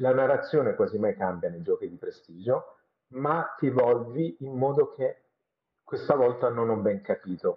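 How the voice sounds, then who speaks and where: Moderate pace from a man, loudness swinging widely. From Italy, Bari (Apulia). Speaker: special effects make-up artist. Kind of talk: casual interview.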